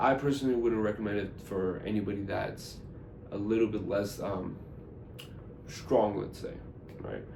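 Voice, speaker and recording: A man speaks at a moderate pace with a fairly low voice. Audible room echo surrounds him. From US (immigrated from Iran at age five). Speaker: gun channel host. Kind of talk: casual vlog talk to camera. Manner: halting, many fillers.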